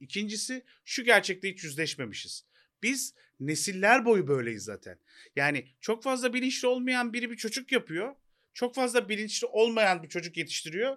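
A man speaks in a raised, projected voice with a high pitch, a bright, sharp tone and lively intonation. The pace is moderate, and the recording is very clean with a silent background. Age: 40s. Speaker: podcast co-host. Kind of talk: casual chat. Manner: hesitant with fillers.

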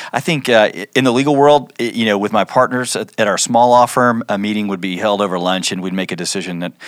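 In a plain, everyday voice, a man with an American accent speaks at a fairly low pitch and a fairly quick pace with ordinary pitch variation, on a very clean recording with a silent background. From Oklahoma. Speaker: church staff director, former lawyer. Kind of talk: podcast interview.

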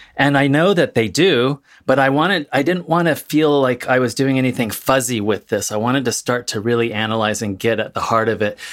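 A plain, everyday voice with an American accent moves at a fairly quick pace with hardly any pauses, in a very clean recording with a silent background. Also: man, medium pitch for a man, ordinary pitch variation. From California, Central Valley. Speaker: author and academic. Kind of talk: panel discussion.

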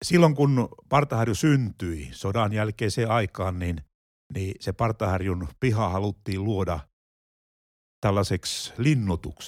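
A man speaks very slowly at a fairly low pitch with lively intonation, in a very clean, dry, close recording with no echo and a silent background. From Finland, Pieksämäki. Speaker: retired pastor. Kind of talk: casual chat. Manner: halting.

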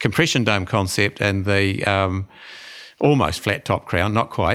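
On a very clean recording with a silent background, the voice moves at a fairly quick pace. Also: man. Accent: New Zealand. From New Zealand. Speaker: dentist. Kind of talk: interview.

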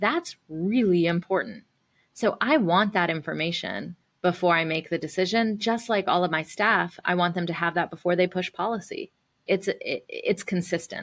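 A woman with an American accent, an unremarkable speaking voice, medium pitch, ordinary pitch variation and a moderate pace, in a very clean recording with a silent background. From US South. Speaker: nonprofit CEO and activist. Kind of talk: casual interview.

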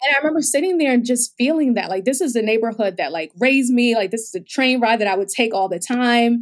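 Very fast and with hardly any pauses, a woman speaks at a high pitch in an American accent. Her intonation is lively, and the recording is very clean with a silent background. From New York, the Bronx. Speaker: health startup founder. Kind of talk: interview.

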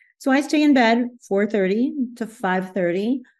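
Against a quiet background, a woman uses an ordinary speaking voice with lively intonation at a moderate pace. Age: 60s. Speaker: yoga therapist and author. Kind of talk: interview.

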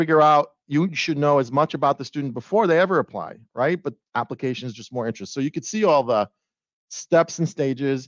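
Against a quiet background, a man speaks at a moderate pace with ordinary pitch variation in a dry, close sound with no echo. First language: not English. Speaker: university enrollment leader. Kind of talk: casual interview chat.

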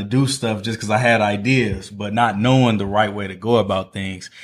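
On a very clean recording with a silent background, a normal speaking voice with an American accent moves at a moderate pace with fairly even intonation. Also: man. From Northwest Indiana (East Chicago, Gary area). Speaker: entrepreneur and food blogger. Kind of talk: casual interview.

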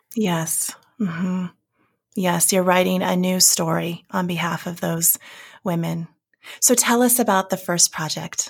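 A woman with a fairly low, somewhat breathy voice speaks at a fairly slow pace with fairly even intonation and long, frequent pauses. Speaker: podcast host. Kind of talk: interview conversation.

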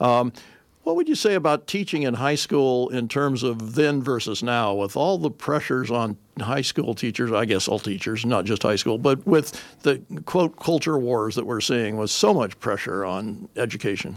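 A man speaks at a moderate pace and medium pitch. It's a plain, everyday voice, with lively intonation. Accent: American. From Whittier, Los Angeles area. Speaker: community radio host. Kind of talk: interview conversation.

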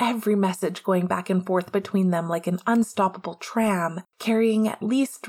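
Natural-voiced reading aloud fills the clip.

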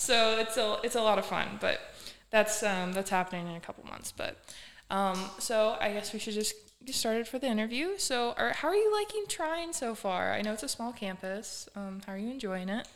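A woman with a fairly high voice speaks at a moderate pace with ordinary pitch variation. She has an unremarkable speaking voice. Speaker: student podcast host. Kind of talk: casual interview.

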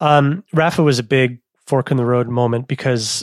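Recorded very clean with a silent background and a dry, close sound with no echo, a man speaks at a very slow pace in a medium pitch. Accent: Canadian. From Canada, Manitoba. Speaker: cycling media founder. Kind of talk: interview.

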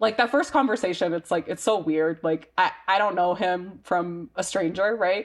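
A woman with a plain, everyday voice speaks in an American accent at a medium pitch and moderate pace, with ordinary pitch variation and hardly any pauses. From US South (Mississippi). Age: 20s. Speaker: marketing and communications specialist. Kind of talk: interview, personal testimony.

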